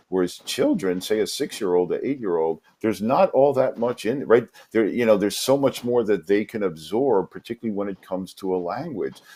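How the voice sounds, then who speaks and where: A fairly quick male voice, dark and mellow in tone, with ordinary variation in pitch. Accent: New York. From New York City. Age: 50s. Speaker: English teacher. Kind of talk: interview.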